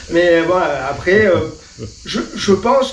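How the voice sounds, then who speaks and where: Through noticeable background noise and audible room echo, a man talks fairly slowly at a high pitch. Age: 60s. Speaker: motorcycle club founder. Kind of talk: casual interview. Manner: hesitant, many fillers.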